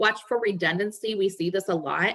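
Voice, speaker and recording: A woman talks in a normal speaking voice at medium pitch. Her pace is moderate and her pitch variation ordinary. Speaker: resume writer and career coach. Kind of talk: webinar presentation.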